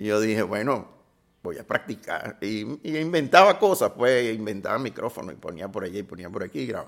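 A man with a Caracas Venezuelan accent and ordinary pitch variation. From Venezuela, Caracas. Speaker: film sound designer and director. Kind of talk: interview. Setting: at his home.

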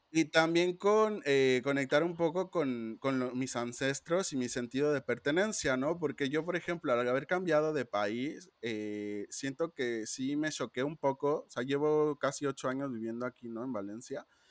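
A man in a plain, everyday voice speaks at a fairly slow pace and fairly high pitch, with ordinary pitch variation and hardly any pauses, in a dry, close sound with no echo. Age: 30s. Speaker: designer. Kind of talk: casual chat.

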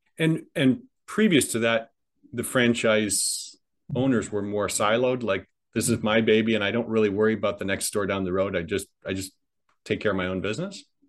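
Against a quiet background, a man with an American accent speaks at a fairly quick pace in an unremarkable speaking voice, with a fairly low pitch and ordinary pitch variation. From US Midwest. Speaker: podcast host. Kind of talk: interview.

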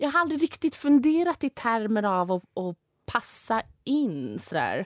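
A woman's pitch rises and falls very widely as she talks at a fairly slow pace. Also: dry, close sound with no echo. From Sweden, from age nine; earlier London and Saudi Arabia. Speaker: angel investor. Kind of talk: interview conversation.

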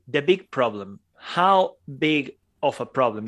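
In a non-native accent, a man with a fairly high pitch speaks against a quiet background. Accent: foreign-accented English. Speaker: podcast co-host. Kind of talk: casual chat.

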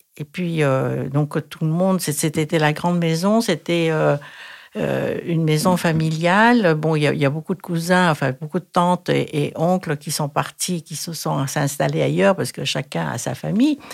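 The recording is very clean, with a silent background, as a woman speaks in a Thai accent at a fairly slow pace. Her pitch is very deep and low, with ordinary variation. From Thailand. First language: Thai (speaking French). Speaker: retired Thai teacher. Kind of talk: interview. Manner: halting.

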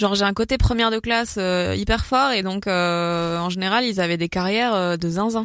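This woman talks at a moderate pace with ordinary pitch variation. The recording is very clean, with a silent background. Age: young. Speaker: stand-up comedian. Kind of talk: casual chat. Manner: hesitant, many fillers.

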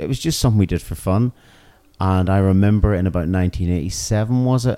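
The voice has a dark, mellow tone and a Northern Irish accent. It moves at a very fast pace. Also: man. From Northern Ireland. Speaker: punk rock musician. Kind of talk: interview. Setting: music venue.

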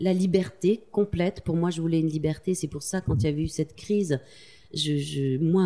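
A woman's fairly low voice carries a dark, mellow tone with ordinary pitch variation. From Corrèze, France. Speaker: magazine co-founder and journalist. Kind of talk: interview. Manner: halting.

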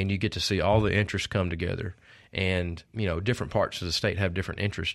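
A man with a Mississippi accent talks at a very fast pace in a very deep, low pitch, his intonation fairly even. The recording is very clean, with a silent background. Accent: Mississippi Southern. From Mississippi, Oxford area. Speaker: state director of a conservation group. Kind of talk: interview.

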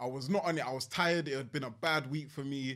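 The recording is very clean, with a silent background. A man speaks at medium pitch with fairly even intonation. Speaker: TV participant and writer. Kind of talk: casual chat. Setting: studio.

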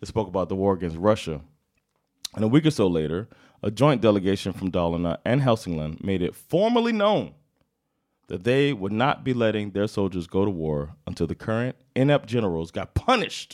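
With an American accent, the speaker goes at a fairly quick pace with lively intonation and an animated tone on a very clean recording with a silent background. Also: man, fairly low pitch for a man. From United States. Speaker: comedian and podcast co-host. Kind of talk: casual storytelling chat.

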